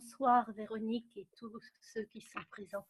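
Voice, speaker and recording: Speaking fairly slowly in a monotone, flat delivery, a woman with a fairly high pitch is heard in a dry, close recording with no echo. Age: 70s. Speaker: webinar participant. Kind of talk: casual chat. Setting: video call webinar.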